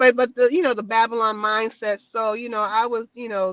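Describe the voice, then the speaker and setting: The speaker has an American accent and a monotone, flat intonation. The pace is moderate, and the sound is dry and close with no echo. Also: woman. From United States. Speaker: travel vlogger and podcaster. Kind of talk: interview, personal story. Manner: halting.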